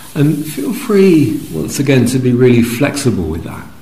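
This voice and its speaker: Noticeable background noise behind a male speaker. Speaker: meditation teacher. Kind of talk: guided meditation. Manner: slow, soft-spoken, with long pauses between short phrases; gentle, calm, soothing.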